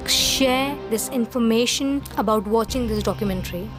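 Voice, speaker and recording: A woman's fairly high-pitched voice is heard with music in the background. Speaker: movie and show reviewer. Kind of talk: review talk to camera. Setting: low-quality recording.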